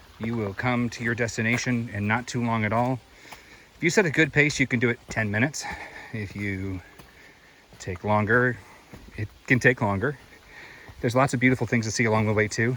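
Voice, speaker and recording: A man speaks at a medium pitch with fairly even intonation, leaving long, frequent pauses. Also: fairly quick pace. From US South, Greenville County, South Carolina. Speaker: hiking vlogger. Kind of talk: outdoor walking vlog narration. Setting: outdoors on a hiking trail. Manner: casual, conversational.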